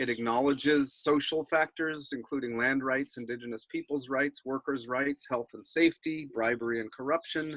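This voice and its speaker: An unremarkable speaking voice from a man, fairly high in pitch, at a moderate pace with fairly even intonation and hardly any pauses, dry and close with no echo. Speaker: environmental campaigner. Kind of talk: webinar presentation.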